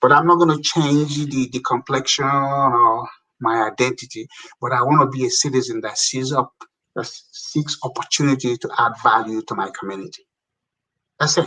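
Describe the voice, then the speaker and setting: A man's fairly high voice with a bright, sharp tone, ordinary pitch variation and a moderate pace. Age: 60s. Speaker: community commentator on African development. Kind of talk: interview conversation. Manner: animated.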